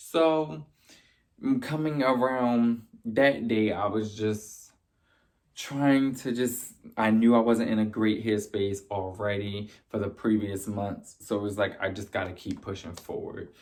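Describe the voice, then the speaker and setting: On a very clean recording with a silent background, a man speaks at a fairly slow pace and fairly low pitch with ordinary pitch variation. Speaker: video blogger. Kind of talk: personal testimony. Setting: live stream. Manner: loud.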